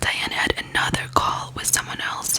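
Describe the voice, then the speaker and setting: Whispered speech from a woman with noticeable background noise. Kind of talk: true crime case narration. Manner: soft, whispering, relaxing.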